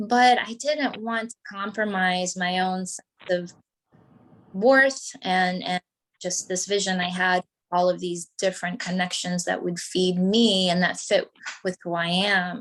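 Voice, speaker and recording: A woman with a Portuguese accent speaks at a fairly slow pace. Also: medium pitch for a woman, ordinary pitch variation. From Brazil. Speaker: teacher, activist, writer. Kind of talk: interview answer.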